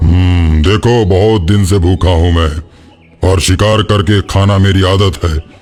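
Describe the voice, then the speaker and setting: A man uses a cartoonish character voice with a very deep, low pitch. He talks at a fairly slow pace. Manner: proud, firm.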